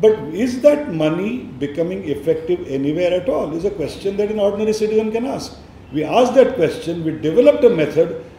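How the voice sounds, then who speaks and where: In a Marathi accent, a man's high voice swings very widely in pitch, with audible room echo. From India, Maharashtra. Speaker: education nonprofit leader. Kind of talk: speech.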